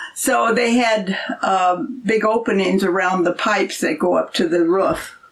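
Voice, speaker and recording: Over noticeable background noise, the speaker goes at a fairly slow pace with lively intonation and very even loudness. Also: woman, medium pitch for a woman. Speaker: host's mother, storyteller. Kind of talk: casual storytelling interview. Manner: soft-spoken.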